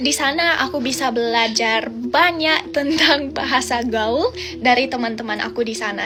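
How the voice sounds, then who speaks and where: Over background music and audible room echo, a woman with a slight non-native accent speaks at a moderate pace in a high voice. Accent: slightly non-native accent in Indonesian. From Australia. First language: English (speaking Indonesian). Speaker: foreign Indonesian learner, vlogger. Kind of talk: casual vlog monologue.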